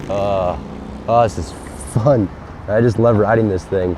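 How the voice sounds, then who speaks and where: Fairly low-pitched male voice against noticeable background noise. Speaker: motorcycle reviewer. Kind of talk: ride vlog. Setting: outdoors on a motorcycle.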